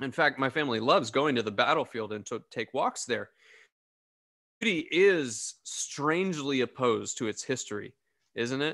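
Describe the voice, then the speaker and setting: Over a quiet background, a man with a bright, sharp tone speaks at a moderate pace. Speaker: pastor. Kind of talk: sermon. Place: home room. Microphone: studio mic.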